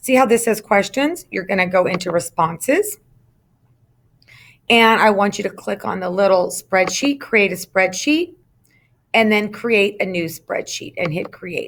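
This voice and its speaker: Speaking at a fairly slow pace, a woman uses an unremarkable speaking voice of medium pitch with ordinary pitch variation. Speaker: instructional technology trainer for teachers. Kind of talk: screen-recorded tutorial. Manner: casual with frequent fillers.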